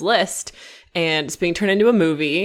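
A woman speaks at a moderate pace. She has a normal speaking voice with fairly even intonation. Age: 20s. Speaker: podcast co-host. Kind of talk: casual chat. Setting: Skype call.

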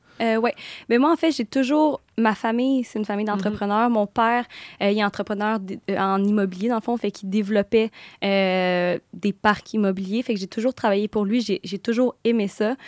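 A woman with a plain, everyday voice speaks at a moderate pace, her pitch fairly high and her intonation fairly even. The recording is very clean with a silent background, and the sound is dry and close with no echo. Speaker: entrepreneur. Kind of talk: casual chat.

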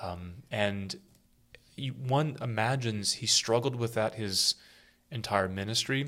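Here a man with a medium-pitched voice and a bright, sharp tone speaks fairly slowly. He uses ordinary pitch variation and leaves long, frequent pauses. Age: 40s. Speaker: priest and podcast co-host. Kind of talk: casual chat. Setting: makeshift studio.

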